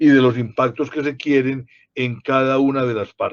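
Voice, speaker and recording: A man talks in a plain, everyday voice. His pitch is fairly high and his pace fairly slow. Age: 60s. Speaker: public policy commentator. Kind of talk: panel discussion.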